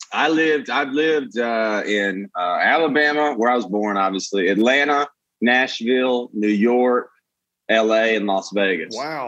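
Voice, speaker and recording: At a fairly slow pace, a man with a Southern US accent speaks at a medium pitch. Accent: Southern US, noticeable. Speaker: comedian. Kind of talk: casual chat, storytelling. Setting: video call.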